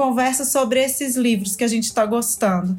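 A woman's voice with ordinary pitch variation. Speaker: teacher and writer. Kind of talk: casual chat.

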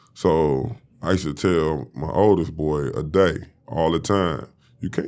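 A man's very deep, low voice with vocal fry and an American accent. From Detroit, Michigan. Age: 40s. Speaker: former basketball player. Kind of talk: casual interview. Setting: studio.

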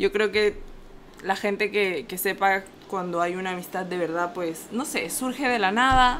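A woman's pitch varies in an ordinary way as she talks fairly slowly. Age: 20s. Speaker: podcast co-host. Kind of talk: casual chat. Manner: animated.

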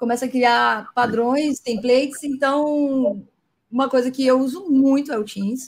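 A woman talks at a fairly slow pace in a high pitch. Her intonation stays fairly even. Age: 30s. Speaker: data engineering lead. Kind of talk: casual interview. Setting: online live stream.

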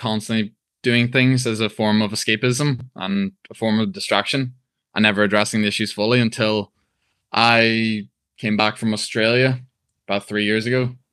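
With a Northern Irish accent, a man talks at a moderate pace in a medium pitch with fairly even intonation against a quiet background. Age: 20s. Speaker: personal trainer. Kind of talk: interview.

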